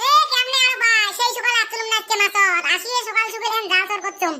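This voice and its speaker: This cartoonish character voice is squeaky and extremely high-pitched, moving at a fairly quick pace. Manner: loud, bickering.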